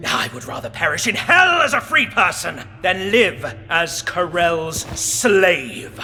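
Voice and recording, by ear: Putting on a character voice, a man speaks slowly in a high, bright, sharp tone with big pitch swings as faint music plays behind him.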